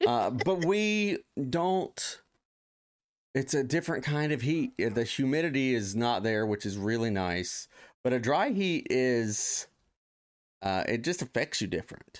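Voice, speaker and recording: A man with an American accent speaks at a fairly slow pace, his medium pitch swinging very widely. Loudness stays very even, long pauses come often, and the recording is very clean with a silent background. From Ohio, US Midwest. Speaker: podcast host. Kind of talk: casual chat. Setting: studio, live stream.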